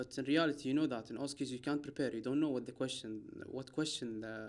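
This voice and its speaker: A man's medium-pitched voice with an Arabic accent, a fairly quick pace and fairly even intonation. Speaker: doctor. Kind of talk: casual chat. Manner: halting.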